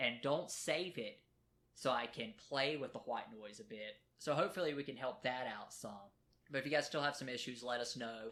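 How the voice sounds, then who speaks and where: A loud man's voice at a medium pitch, bright and sharp in tone, with ordinary pitch variation and a moderate pace. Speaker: podcast co-host. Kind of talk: casual chat. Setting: home recording at kitchen table. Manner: trying to talk louder.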